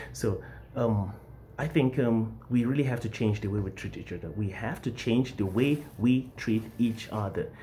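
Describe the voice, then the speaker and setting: Speaking with an American accent at a moderate pace, a man uses a medium pitch, ordinary pitch variation, vocal fry and a dark, mellow tone. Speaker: English teacher and vlogger. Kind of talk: vlog monologue.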